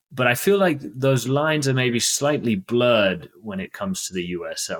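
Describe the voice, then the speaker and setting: A man speaks with a British accent and lively intonation. The recording is very clean, over a silent background. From Britain. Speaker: podcast host. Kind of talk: interview.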